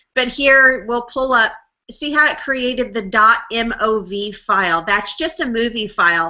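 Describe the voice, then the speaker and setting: A woman with a normal speaking voice talks at a fairly high pitch and a fairly slow pace, with lively intonation. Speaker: online marketing trainer. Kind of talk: tutorial. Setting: live webinar screen share. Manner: casual, filler-heavy.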